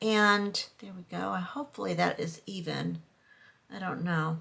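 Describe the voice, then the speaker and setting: At a fairly slow pace, a woman talks with ordinary pitch variation over noticeable background noise. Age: 60s. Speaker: vlogger. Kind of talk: casual vlog chat. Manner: halting.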